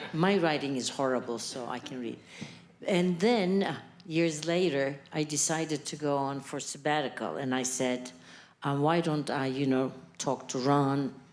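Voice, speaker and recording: With audible room echo around her, a woman speaks at a moderate pace in a very deep, low pitch with ordinary pitch variation. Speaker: academic researcher. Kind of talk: audience remarks. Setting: stage with audience.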